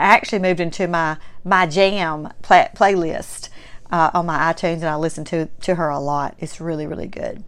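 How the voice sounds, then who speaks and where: A woman's fairly low voice at a moderate pace, with a warm, enthusiastic tone and a strong Southern US accent. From Mississippi, US South. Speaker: podcast and vlog host. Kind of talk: casual solo podcast monologue. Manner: warm, chatty, enthusiastic.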